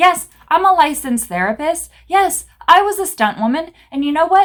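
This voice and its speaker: At a moderate pace, a woman talks with an extremely high pitch and lively intonation. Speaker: business coach and therapist. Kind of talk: motivational talk to camera. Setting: office. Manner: loud; animated.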